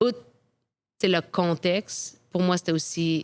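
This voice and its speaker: A woman with a Quebec accent speaks at a fairly slow pace in a fairly low pitch with monotone, flat intonation. The recording is very clean, with a silent background. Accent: Québécois French. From Quebec, Quebec City. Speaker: professional soccer goalkeeper. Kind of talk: interview storytelling.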